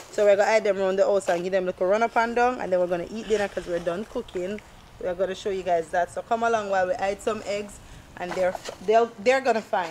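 Over light background noise, the speaker goes at a very fast pace with fairly even intonation. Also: woman. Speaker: family vlogger. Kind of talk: casual vlog chat. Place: garden.

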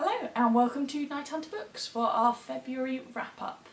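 A woman with a high voice speaks at a moderate pace in a room with audible echo. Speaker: book reviewer. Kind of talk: casual book review to camera. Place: home room. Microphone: camera far.

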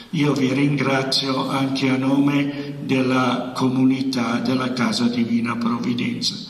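Audible room echo surrounds a man talking at a fairly slow pace with ordinary pitch variation. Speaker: priest. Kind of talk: welcome speech. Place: hall. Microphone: handheld.

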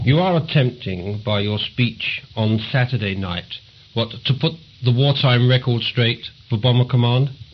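A man with a medium-pitched, somewhat breathy voice speaks at a fairly slow pace with ordinary pitch variation. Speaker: interviewer. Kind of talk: interview questions.

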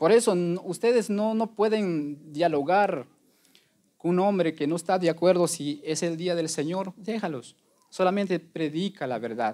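A dark, mellow voice moves at a fairly slow pace with lively intonation. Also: man, high pitch for a man. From Guatemala. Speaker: lay preacher. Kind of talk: testimony. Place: church.

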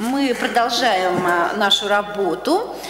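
A man's high-pitched voice amid audible room echo. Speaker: dissertation council chair. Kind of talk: formal meeting chairing. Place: hall. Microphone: podium.

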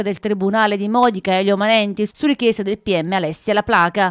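A woman talks at a fairly quick pace in a normal speaking voice, fairly high-pitched, on a very clean recording with a silent background and a dry, close sound with no echo. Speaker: local news reporter. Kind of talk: news reading. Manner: formal, even and measured, in the flat, impersonal tone of a broadcast crime report.

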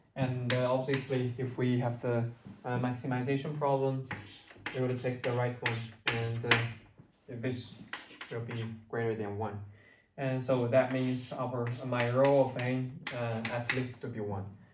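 A man speaks at a fairly slow pace with long, frequent pauses. His intonation is monotone and flat, and there is noticeable background noise. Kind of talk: lecture. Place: classroom. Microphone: camera far.

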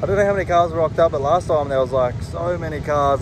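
A man speaks with ordinary pitch variation. The sound is dry with no echo, though background noise is noticeable. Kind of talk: casual vlog chat. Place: street. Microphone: phone near.

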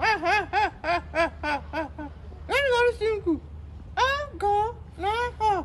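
A put-on character voice speaks at an extremely high pitch and a very slow pace, with long, frequent pauses. Clear background noise runs underneath.

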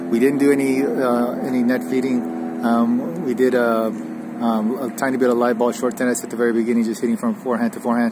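A man's voice with ordinary pitch variation at a fairly quick pace, hardly any pauses, a dry sound with no echo and noticeable background noise. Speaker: tennis coach. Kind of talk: lesson summary. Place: open country.

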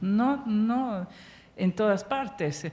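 A woman's somewhat breathy, medium-pitched voice with an Italian accent. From Italy. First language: Italian (speaking Spanish). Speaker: archaeologist, professor; conference speaker. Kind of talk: lecture. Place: stage. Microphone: handheld.

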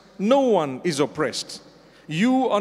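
A man's high-pitched voice. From Zimbabwe. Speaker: Islamic scholar giving a sermon. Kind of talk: Friday sermon / religious lecture. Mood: calm, earnest exhortation. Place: hall. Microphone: handheld.

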